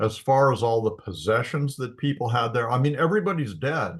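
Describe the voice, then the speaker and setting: Somewhat breathy, a man with an American accent speaks at a moderate pace with lively intonation against a quiet background. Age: 70s. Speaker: Bible teacher. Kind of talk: Bible study lecture. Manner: halting, many fillers.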